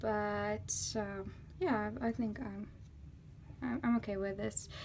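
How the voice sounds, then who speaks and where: A very slow woman speaker with a non-native accent. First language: not English. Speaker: artist. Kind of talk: casual talk to camera. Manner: talkative.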